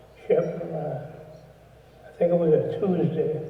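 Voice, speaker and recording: A man is talking with audible room echo. Noticeable background noise is also present. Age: 80s+. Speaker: retired businessman, presenter. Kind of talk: induction speech. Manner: halting.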